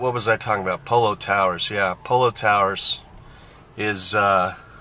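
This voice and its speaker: Flat and monotone, a man's voice moves along at a medium speed. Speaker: sports bettor and handicapper. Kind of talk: casual narration while driving. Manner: rambling with many fillers.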